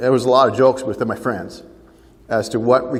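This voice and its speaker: This man's voice carries vocal fry. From Ontario, Canada. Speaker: farm family mediator and speaker. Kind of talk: keynote talk to a seminar audience.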